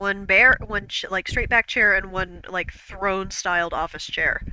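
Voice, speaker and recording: A woman with a slight Midwestern accent speaks at a medium pitch and a moderate pace, her intonation fairly even. Noticeable background noise sits behind her. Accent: regional Midwest, slight. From US Midwest. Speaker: streamer. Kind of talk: casual chat. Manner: halting.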